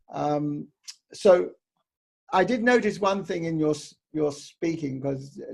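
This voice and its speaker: The speaker is a man. He talks with a New Zealand accent. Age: 70s. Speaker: interviewer and speaking coach. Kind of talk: interview.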